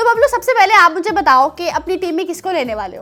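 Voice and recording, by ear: This woman talks fast in an extremely high, bright and sharp voice that makes big swings in pitch.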